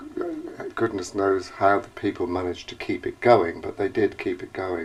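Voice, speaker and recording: A man talking with hardly any pauses over noticeable background noise. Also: big swings in loudness. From northern England, Chesterfield, Derbyshire. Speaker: oral history interviewee. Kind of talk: interview, casual reminiscence. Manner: halting, hesitant.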